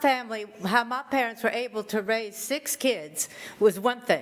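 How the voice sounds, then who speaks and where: Against noticeable background noise, a woman talks fairly slowly. Her voice is high with ordinary pitch variation. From Louisiana, Lafayette. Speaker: public commenter. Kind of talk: public comment at hearing.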